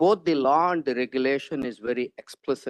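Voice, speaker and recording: A man talks at a moderate pace. His pitch is fairly high. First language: not English. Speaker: planning staff member. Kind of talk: answering questions at board meeting. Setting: hybrid public meeting.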